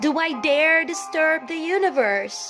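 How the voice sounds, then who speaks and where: A woman speaks in a calm tone. Music plays behind her. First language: non-native English speaker. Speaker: poetry reciter. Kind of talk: poetry reading. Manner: calm, meditative.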